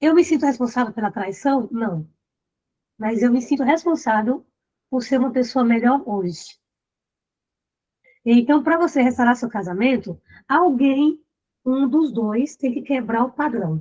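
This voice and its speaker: A woman speaks fairly slowly in a high pitch, with a dark, mellow tone and lively intonation. Her delivery has long, frequent pauses. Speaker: relationship coach. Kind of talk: live online group session.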